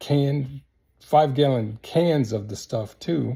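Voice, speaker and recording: A man with an American accent has a dark, mellow, somewhat breathy tone. He speaks at a fairly slow pace. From US small town. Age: 70s. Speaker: military veteran. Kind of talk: casual monologue. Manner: halting.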